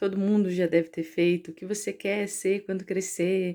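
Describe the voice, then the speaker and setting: The tone is dark and mellow, and the pace fairly slow. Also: woman. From Brazil, interior of São Paulo state. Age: 30s. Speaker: researcher and teacher. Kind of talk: personal story vlog. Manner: casual, conversational with fillers.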